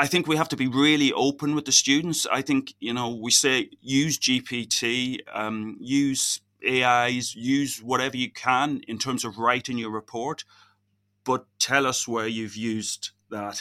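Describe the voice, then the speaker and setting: Recorded very cleanly with a silent background and a dry, close sound with no echo, a man at medium pitch speaks at a fairly slow pace with a bright, sharp tone and fairly even intonation. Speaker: physicist and university lecturer. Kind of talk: interview.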